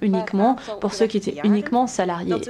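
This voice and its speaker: Noticeable background noise fills the clip. Through it a woman talks with ordinary pitch variation. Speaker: conference presenter. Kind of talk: lecture presentation. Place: hall. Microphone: podium.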